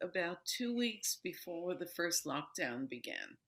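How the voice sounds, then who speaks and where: Speaking very slowly with an American accent, a woman makes very wide pitch swings. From New York City, US. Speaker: yoga teacher and author. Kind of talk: interview. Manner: calm.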